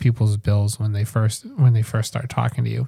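The voice is dark, mellow and somewhat breathy, moving at a fairly quick pace with a dry, close sound and no echo. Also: man. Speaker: podcast host. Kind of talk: casual interview.

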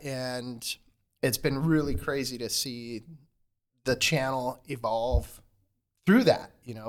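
In a very clean recording with a silent background, a man with an American accent speaks at a medium pitch in an unremarkable speaking voice. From southern New Mexico (US Southwest), later Washington State. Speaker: filmmaker and YouTube content creator. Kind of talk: casual interview chat. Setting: in person, on the road in San Diego.

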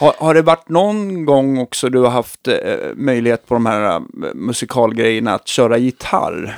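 A man speaks at a medium pitch with lively intonation. His pace is moderate, and the sound is dry and close with no echo. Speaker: podcast host. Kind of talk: casual chat. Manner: halting. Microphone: new microphones.

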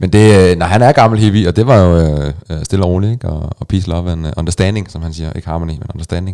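With a very deep, low pitch and a dark, mellow tone, a man talks at a very fast pace with hardly any pauses and ordinary pitch variation. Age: 30s. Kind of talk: casual chat.

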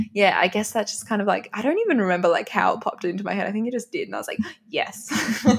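A woman with an Australian accent speaks very fast in a fairly high pitch over noticeable background noise. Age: 20s. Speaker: health and fitness influencer. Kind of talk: interview. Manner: animated.

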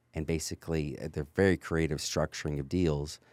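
A man with an American accent, very deep and low with vocal fry, fairly quick, with fairly even intonation, in a dry, close, very clean recording with no echo and a silent background. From California. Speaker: real estate investor. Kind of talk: casual interview.

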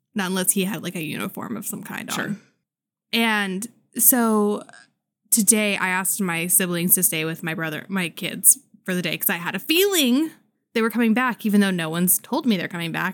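A woman speaks at a medium pitch with ordinary pitch variation. Hers is a plain, everyday voice. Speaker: podcast co-host. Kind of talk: casual chat.

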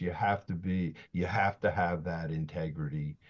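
A man speaks with an American accent. His pitch variation is ordinary, and the background is quiet. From South Jersey, Camden area. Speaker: technology consultant. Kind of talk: casual chat.

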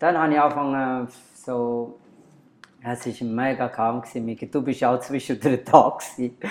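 The delivery is very slow, with long, frequent pauses. Intonation stays fairly even. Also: man, medium pitch for a man. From Bangladesh. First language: Bengali (speaking German). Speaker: bar and club owner. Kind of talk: interview. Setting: at a bar.

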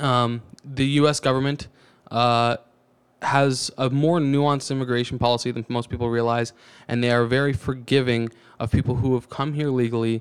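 On a very clean recording with a silent background, a man speaks with an American accent. His pitch is medium and his intonation monotone and flat. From Canada (Ontario/Alberta) then Georgia, US. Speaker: podcast guest. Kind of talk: casual chat.

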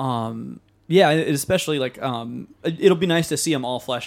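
This very clean recording captures a man against a silent background. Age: young. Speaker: podcast co-host, music teacher. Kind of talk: casual chat.

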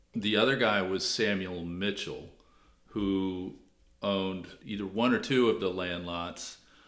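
A man with an American accent speaks at a fairly low pitch and fairly slow pace, with fairly even intonation and audible room echo. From Washington D.C. area. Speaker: author and local historian. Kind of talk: interview.

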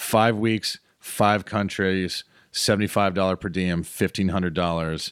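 In an ordinary speaking voice, a man with an American accent talks at a moderate pace with fairly even intonation, captured in a very clean, dry, close recording with no echo and a silent background. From North Carolina, Piedmont Triad (High Point). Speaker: comedian. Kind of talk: casual interview storytelling. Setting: studio.

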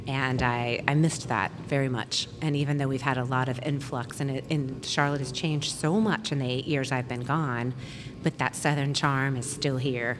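A woman with an American accent talks at a moderate pace in a very deep, low pitch with fairly even intonation. Room echo is audible, along with noticeable background noise. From US South, Florida (Pensacola). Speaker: businesswoman. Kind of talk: casual chat. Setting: live recording at a bar.

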